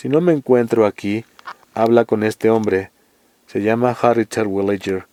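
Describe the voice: The passage is delivered as plain reading aloud.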